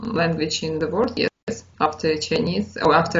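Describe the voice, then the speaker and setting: The speaker talks at a moderate pace with a Russian accent. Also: woman. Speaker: English learner. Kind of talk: casual conversation practice. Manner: halting, many fillers.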